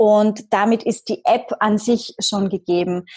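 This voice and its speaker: Somewhat breathy and very slow, a woman speaks at a fairly high pitch in a dry, close sound with no echo. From Austria, Vienna. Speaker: marketing entrepreneur and magazine publisher. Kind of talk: podcast interview.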